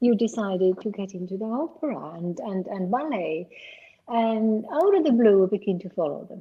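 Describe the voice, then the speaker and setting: At a moderate pace, a woman with a medium pitch sounds somewhat breathy, her intonation lively and her loudness swinging widely. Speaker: talk show host and movement method teacher. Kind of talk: interview.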